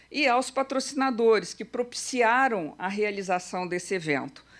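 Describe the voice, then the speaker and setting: In a very clean recording with a silent background, a woman speaks at a fairly slow pace in an unremarkable speaking voice with ordinary pitch variation. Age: 60s. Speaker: event curator and organizer. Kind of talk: conference opening speech. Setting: auditorium with audience. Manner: conversational, uses fillers.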